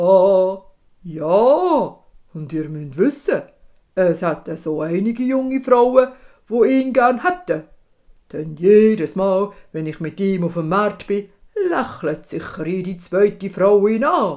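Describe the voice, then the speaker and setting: This is a put-on character voice at middle pitch. The pace is fairly slow. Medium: read story. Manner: brays mid-sentence, hee-haw interjections.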